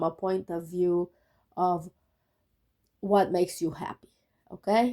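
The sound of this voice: At a medium pitch, a woman speaks in a dark, mellow tone.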